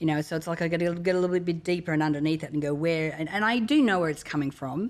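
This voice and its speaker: A woman talks at a very fast pace with an Australian accent. Her voice sits fairly low, with ordinary pitch variation. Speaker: motivational speaker and author. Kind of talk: interview conversation.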